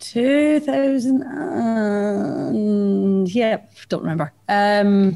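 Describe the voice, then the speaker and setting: In an Edinburgh accent, a woman speaks at a very slow pace. She leaves hardly any pauses. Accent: Scottish (Edinburgh). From Scotland, Edinburgh. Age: 30s. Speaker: bar manager. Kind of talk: casual chat. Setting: live location, same room. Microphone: echo in recording.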